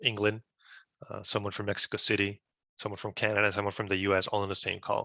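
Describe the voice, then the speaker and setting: A man's very fast, monotone delivery with flat intonation and a bright, sharp tone, dry and close with no echo, over a quiet background. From Peru. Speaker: business intelligence engineer. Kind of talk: webinar presentation.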